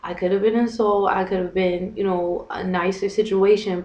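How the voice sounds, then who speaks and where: A woman with an American accent at a medium pitch, a fairly quick pace, and noticeable background noise. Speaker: vlogger and English teacher. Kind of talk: casual vlog. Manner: fast; animated.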